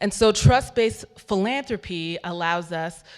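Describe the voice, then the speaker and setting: A plain, everyday voice from a woman with an American accent, fairly low in pitch with ordinary pitch variation. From United States. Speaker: philanthropy workshop facilitator. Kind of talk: conference workshop talk. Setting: conference hall with audience.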